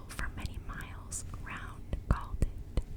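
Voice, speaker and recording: Whispering in a soothing tone, a woman is heard over noticeable background noise. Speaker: ASMR creator. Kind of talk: bedtime story reading, ASMR. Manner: whispered, soothing.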